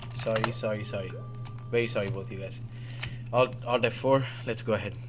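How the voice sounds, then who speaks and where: A man's medium-pitched voice at a fairly quick pace, monotone and flat, with music in the background. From Oman, Indian family. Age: 20s. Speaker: gaming livestreamer and commentator. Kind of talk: live game commentary stream. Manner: flustered, rapid apologies.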